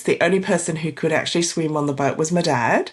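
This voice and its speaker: A woman with an Australian accent and a fairly low pitch. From Australia, arrived from Vietnam at age four. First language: Vietnamese. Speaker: divorce coach. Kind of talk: interview.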